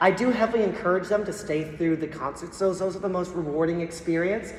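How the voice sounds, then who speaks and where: A woman's mid-range voice, with ordinary pitch movement, comes through over clearly audible background noise. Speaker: school band teacher. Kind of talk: parent meeting presentation. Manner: fast; casual, filler-heavy.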